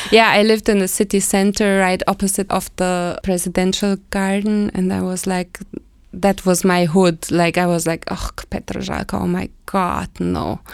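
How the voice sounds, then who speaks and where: Speaking at a moderate pace with a German accent, the voice stays monotone and flat. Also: woman, medium pitch for a woman, very clean recording, silent background. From Germany, West Berlin. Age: 40s. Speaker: expat interviewee. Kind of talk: casual interview chat.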